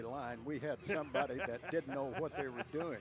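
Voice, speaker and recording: With music in the background, a man with a West Texas accent speaks at a fairly quick pace and a fairly high pitch. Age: 70s. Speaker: play-by-play announcer. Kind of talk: live commentary.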